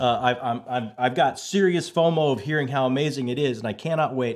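A man speaks at a moderate pace with a fairly high pitch. The background is quiet. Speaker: podcast host. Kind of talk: casual interview. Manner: high energy, excitable. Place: home room.

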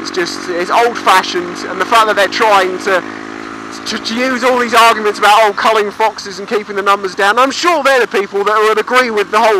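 Fairly quick speech with a British accent, dry with no echo, over noticeable background noise. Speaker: motorcycle vlogger. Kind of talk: casual talk to camera. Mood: opinionated, ranting with swearing. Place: motorbike. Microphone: helmet.

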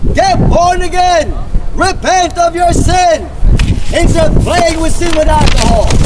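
The delivery is very slow, with background noise clearly noticeable behind it. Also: man. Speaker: street preacher. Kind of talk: loud street preaching. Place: street.

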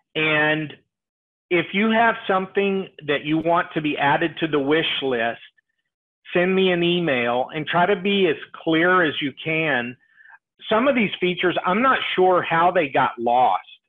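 With lively intonation and a fairly high pitch, a man talks at a fairly slow pace.

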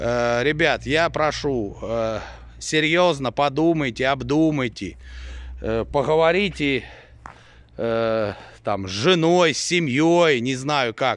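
A man at a fairly high pitch, very slow pace and ordinary pitch variation, in dry sound with no echo. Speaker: sheep breeder vlogger. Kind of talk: casual vlog monologue. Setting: outdoors at farm. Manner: blunt, irritated at times. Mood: mildly irritated. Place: farm. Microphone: phone near.

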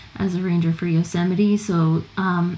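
Against noticeable background noise, a woman speaks at a fairly slow pace in a fairly low pitch. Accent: American. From California. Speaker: travel guide author and former park ranger. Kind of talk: casual chat.

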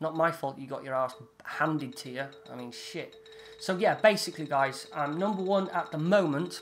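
With an English accent, a man with a fairly high pitch speaks in big swings of loudness against noticeable background noise. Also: ordinary pitch variation, moderate pace. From England. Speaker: gaming YouTuber. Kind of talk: gameplay commentary. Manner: animated.

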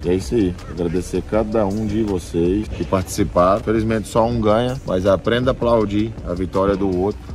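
Faint music sits behind a man speaking at a fairly low pitch with ordinary pitch variation. His pace is moderate with hardly any pauses, and the sound is dry with no echo. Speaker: truck driver vlogger. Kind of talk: casual vlog chat. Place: workshop. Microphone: phone near.

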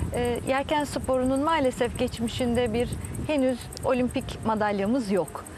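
A woman speaks at a fairly slow pace in a high voice, with ordinary pitch variation and very even loudness. The sound is dry with no echo, and there is noticeable background noise. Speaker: sailing federation president. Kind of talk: TV interview. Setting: outdoors by the sea. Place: garden. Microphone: lapel.

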